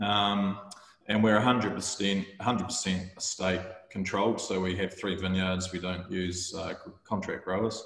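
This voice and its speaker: A man speaks very slowly at a fairly low pitch, his intonation flat and monotone. Room echo is audible. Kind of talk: presentation to online tasting audience. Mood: relaxed, friendly. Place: home room. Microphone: video call.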